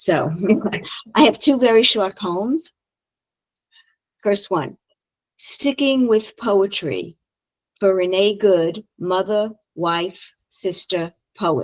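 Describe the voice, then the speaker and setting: With a Brooklyn accent, a woman speaks at a very slow pace with long, frequent pauses and lively intonation, in a dry, close sound with no echo. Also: medium pitch for a woman. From Brooklyn, New York. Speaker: poet. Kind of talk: poetry reading.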